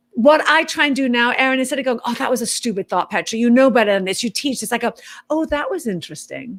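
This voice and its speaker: Speaking at a very fast pace with a British accent, the voice carries an animated tone and lively intonation. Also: woman, high pitch for a woman. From Britain. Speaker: author and fitness professional. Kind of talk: interview chat.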